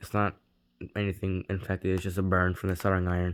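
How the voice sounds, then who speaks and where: A man mumbling at a fairly quick pace. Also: very clean recording, silent background. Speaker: tech reviewer youtuber. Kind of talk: product review. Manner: casual, hesitant with fillers.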